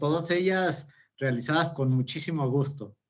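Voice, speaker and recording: With ordinary variation in pitch, a man delivers his words fairly slowly. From Mexico, Toluca, State of Mexico. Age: 30s. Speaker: multi-sport athlete. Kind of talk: interview. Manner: hesitant with fillers.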